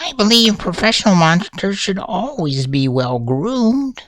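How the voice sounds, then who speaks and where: A put-on character voice sits at a middle pitch with very wide swings. It moves at a moderate pace. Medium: read story. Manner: refined, courteous.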